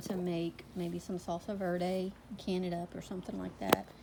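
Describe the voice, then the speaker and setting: A woman with a Southern US accent talks at a medium pitch in a monotone, flat intonation. Noticeable background noise runs behind her. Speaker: homesteading vlogger. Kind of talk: casual vlog.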